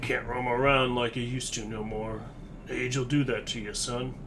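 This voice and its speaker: Through loud background noise, a man puts on a character voice at a medium pitch and moderate pace. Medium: video game. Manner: gruff, folksy drawl.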